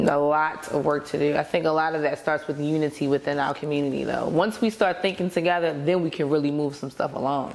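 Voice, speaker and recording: Speaking at a very fast pace with hardly any pauses, a woman uses a very deep, low pitch and fairly even intonation. Noticeable background noise runs under her voice. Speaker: podcast guest. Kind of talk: podcast conversation.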